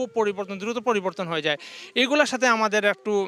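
A man's bright, sharp, raised and projected voice has a high pitch and ordinary pitch variation. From Bangladesh, Sylhet (Beanibazar). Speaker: immigrant, former bank officer. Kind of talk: interview.

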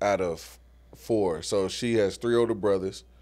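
A man with an American accent speaks at a fairly slow pace in a plain, everyday voice, his fairly low pitch held to fairly even intonation. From Guthrie, Oklahoma. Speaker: artist and community leader. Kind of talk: casual interview.

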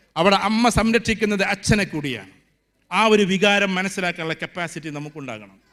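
In a very clean recording with a silent background, a man with a high pitch and a bright, sharp tone sounds animated, with big swings in loudness and ordinary pitch variation. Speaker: motivational speaker. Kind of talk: speech at a convocation ceremony. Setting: stage with student audience, PA.

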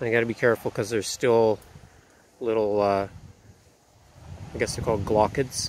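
A man talks at a moderate pace with a fairly low, monotone, flat delivery. The sound is dry with no echo, though light background noise is present. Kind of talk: casual vlog chat. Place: open country. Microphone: phone near.

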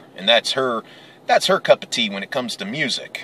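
Light background noise sits behind a man's voice, which has a dry sound with no echo. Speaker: vlogger. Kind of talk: casual vlog chat. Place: car.

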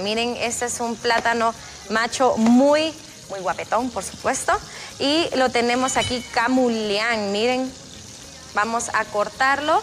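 A woman speaks at a very slow pace in a high pitch, with ordinary pitch variation. Noticeable background noise runs underneath. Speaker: TV cooking host. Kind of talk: cooking tutorial. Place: studio. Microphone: lapel.

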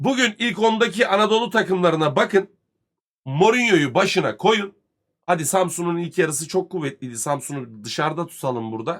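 A fairly quick pace with very wide pitch swings. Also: man, high pitch for a man. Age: 30s. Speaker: football commentator streamer. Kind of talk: live stream rant. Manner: heated.

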